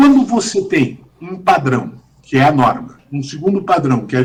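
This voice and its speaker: There's a somewhat breathy quality to the voice. It belongs to a man. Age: 60s. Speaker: judge and law professor. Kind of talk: podcast interview. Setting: video call.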